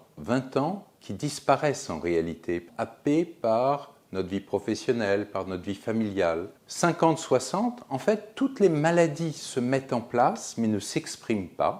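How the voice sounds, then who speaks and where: The voice carries vocal fry and very wide pitch swings. It moves at a fairly slow pace with hardly any pauses. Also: man, medium pitch for a man. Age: 60s. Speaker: physician, geriatrician. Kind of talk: explanatory talk to camera.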